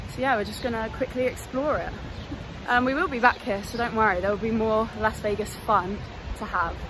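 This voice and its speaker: A woman talks at a fairly quick pace with ordinary pitch variation. The sound is dry with no echo, and background noise is noticeable. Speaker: vlogger. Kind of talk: casual vlog chat. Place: street. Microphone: phone near.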